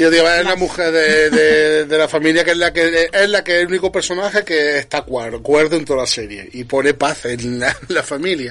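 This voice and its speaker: The speech moves at a moderate pace with hardly any pauses and ordinary pitch variation, over noticeable background noise. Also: man, fairly high pitch for a man. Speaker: podcast host. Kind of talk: casual chat.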